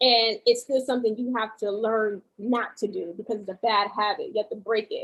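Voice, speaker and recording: A woman talks at a moderate pace in a New York accent. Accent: New York, talks hard. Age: 30s. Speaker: podcast guest. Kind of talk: casual chat.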